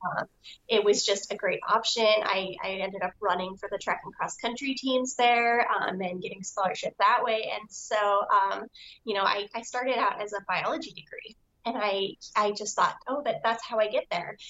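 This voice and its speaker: With an American accent, a woman in an ordinary speaking voice talks at a moderate pace, fairly high in pitch and fairly even in intonation. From US Southwest, Albuquerque, New Mexico. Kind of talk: casual interview chat.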